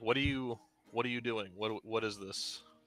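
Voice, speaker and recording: A man does a put-on character voice at a medium pitch, with fairly even intonation and a moderate pace. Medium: actual play.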